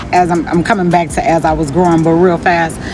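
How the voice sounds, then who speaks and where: Noticeable background noise sits behind a woman who has a fairly low pitch and talks at a fairly quick pace. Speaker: spiritual vlogger. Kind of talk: casual motivational talk. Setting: outdoors by the sea. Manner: loud; animated.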